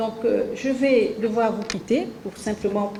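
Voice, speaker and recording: A woman talks at a very slow pace. Noticeable background noise is present. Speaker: government minister of the civil service. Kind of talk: official interview answer.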